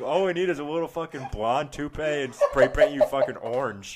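A high-pitched man with an American accent at a fairly quick pace, amid noticeable background noise. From western Michigan, US. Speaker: podcast co-host. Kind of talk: casual chat among friends, telling bar jokes. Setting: late-night recording session. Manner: animated.

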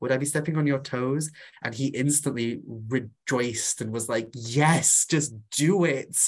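A man talks with a North Welsh accent. His pitch sits in the medium range. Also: ordinary pitch variation, fairly slow pace. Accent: Welsh (North Wales). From Wales, Anglesey. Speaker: author and witch. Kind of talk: casual interview.

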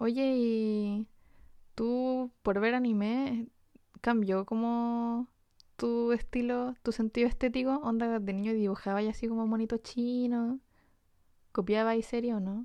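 Leaving long, frequent pauses, a woman with a fairly high, dark and mellow voice speaks in a flat monotone at a very slow pace. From Chile, Antofagasta. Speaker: illustrator and podcast co-host. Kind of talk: casual chat.

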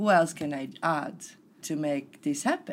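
Lively intonation in an Italian accent. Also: woman. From Italy. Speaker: personal development facilitator. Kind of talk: casual interview chat.

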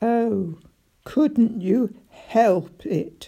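Using a put-on character voice, the woman speaks at a fairly high pitch. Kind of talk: sarcastic, mock-polite. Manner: dangerous, menacing.

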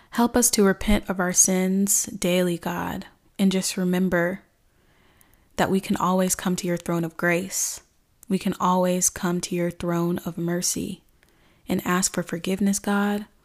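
A woman's medium-pitched voice, flat and monotone, fairly slow, on a very clean recording with a silent background. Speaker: faith-based life coach and podcast host. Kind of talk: fervent spoken prayer, addressing God directly, with repeated 'God' and petitions; scripture reading and devotional talk. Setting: solo recording, podcast. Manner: earnest, pleading, impassioned, with pauses and repeated address.

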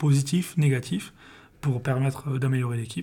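A somewhat breathy man speaks at a moderate pace with fairly even intonation on a very clean recording with a silent background. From southern France, Perpignan. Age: 20s. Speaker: football video analyst. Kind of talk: interview. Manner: halting, frequent hesitations.

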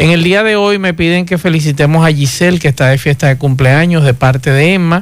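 With a normal speaking voice, a man talks at a fairly quick pace in a fairly high pitch, with ordinary pitch variation and very even loudness. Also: hardly any pauses. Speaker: radio host. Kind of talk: radio talk show.

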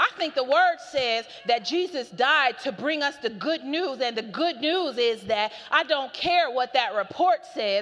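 An animated tone with very wide pitch swings at a fairly slow pace, over noticeable background noise. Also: woman. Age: 40s. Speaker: preacher. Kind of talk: sermon.

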